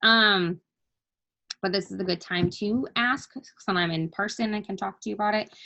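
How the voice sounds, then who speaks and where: The speaker has an ordinary speaking voice with ordinary pitch variation. The pace is moderate. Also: woman, medium pitch for a woman. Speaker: network marketing team leader. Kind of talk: team training call. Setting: video call. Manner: casual, many fillers.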